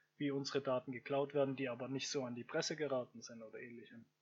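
A man is speaking here. His voice sits at a fairly high pitch. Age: 20s. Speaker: podcaster. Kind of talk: solo monologue podcast. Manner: hesitant, many fillers.

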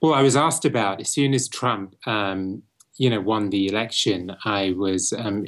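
A man with a British accent speaks at a fairly low pitch with ordinary pitch variation. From England (Bristol). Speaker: branding expert and author. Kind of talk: interview. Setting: remote from London.

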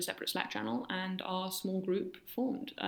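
A woman with a London accent speaks at a fairly quick pace in a medium pitch. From London, England. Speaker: engineer and incoming PhD student. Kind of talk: interview.

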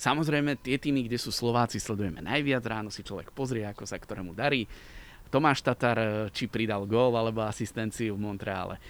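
A man talking fairly quickly has an ordinary speaking voice pitched in the middle range. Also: ordinary pitch variation. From Slovakia, Liptov region. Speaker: radio sports presenter. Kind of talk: casual interview. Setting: outdoors in a park.

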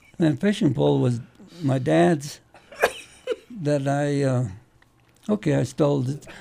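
A man's fairly high-pitched, lively speech at a fairly slow pace, broken by long, frequent pauses, over noticeable background noise. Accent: American. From Colorado, US Mountain West (Crested Butte). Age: 80s+. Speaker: Korean War veteran, former rancher and musician. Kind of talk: oral history storytelling. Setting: radio studio. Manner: halting, with fillers and laughter.

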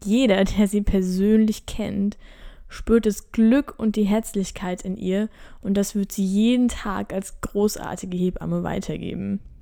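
A woman at a medium pitch, fairly slow in pace, with fairly even intonation. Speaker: midwife and podcast host. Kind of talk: solo podcast monologue. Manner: calm.

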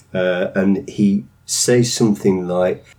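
This man speaks with a Lancashire accent. His pitch is very deep and low. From northern England. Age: 60s. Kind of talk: interview.

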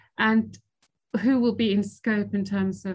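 A woman speaks at a moderate pace in a medium pitch. Her voice is somewhat breathy and her intonation flat and monotone. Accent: British. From Italy and Switzerland. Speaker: sovereign debt lawyer. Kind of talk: interview. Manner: hesitant, many fillers.

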